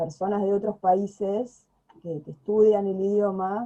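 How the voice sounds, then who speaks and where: A woman with a Buenos Aires accent speaks at a very slow pace. Her tone is dark and mellow. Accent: Rioplatense Spanish (Buenos Aires). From Buenos Aires province, Argentina. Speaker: video channel host, Spanish speaker. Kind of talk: casual conversation. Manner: hesitant, many fillers.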